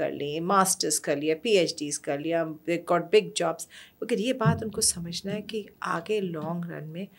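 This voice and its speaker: Here a woman speaks at a fairly slow pace. Her pitch is fairly low. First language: Persian (speaking Hindi). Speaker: storyteller and educator; podcast guest, educator, storyteller. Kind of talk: interview conversation. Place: studio. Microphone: studio mic.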